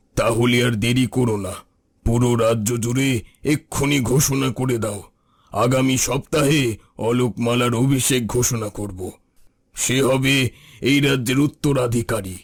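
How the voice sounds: A raspy, cartoonish character voice at a fairly slow pace with fairly even intonation. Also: man, medium pitch for a man.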